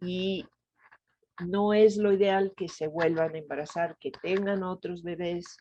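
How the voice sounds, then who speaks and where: At a very slow pace, a woman speaks with monotone, flat intonation. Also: medium pitch for a woman. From Italy, Venice. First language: Italian (speaking Spanish). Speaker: gynecologist and reproductive health expert. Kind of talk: interview.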